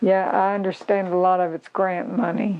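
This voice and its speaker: In an Arkansas accent, a woman speaks at medium pitch and a fairly slow pace. Noticeable background noise can be heard. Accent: US Southern (Arkansas). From Arkansas, US South. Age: 80s+. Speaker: local elder sharing memories. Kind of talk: oral history interview.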